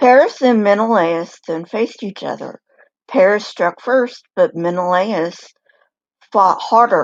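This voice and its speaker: A woman puts on a raspy character voice at a medium pitch. She goes at a fairly slow pace with ordinary pitch variation. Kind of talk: documentary narration. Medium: read story. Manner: measured, lightly wry.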